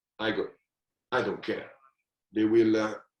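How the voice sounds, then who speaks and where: A man speaks at a moderate pace with an Italian accent. His pitch sits fairly low. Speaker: football manager. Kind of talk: podcast interview. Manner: halting.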